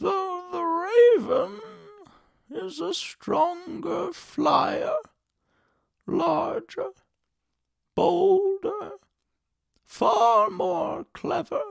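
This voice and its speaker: In a put-on character voice, a man speaks at an extremely high pitch. His pace is very slow, with long, frequent pauses. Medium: read story. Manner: slow, measured, unhurried.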